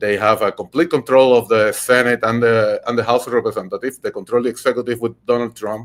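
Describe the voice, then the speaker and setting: A man with a Puerto Rican accent talks at a fairly quick pace and medium pitch in a very clean recording with a silent background. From Puerto Rico. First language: Spanish. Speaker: podcast host and political candidate. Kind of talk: political podcast talk. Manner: halting, many fillers and repetitions.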